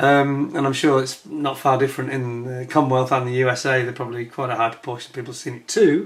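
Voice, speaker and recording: A man speaks at a very fast pace. He has a British accent. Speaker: YouTuber, aviation history enthusiast. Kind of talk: casual video talk to camera. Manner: hesitant, many fillers.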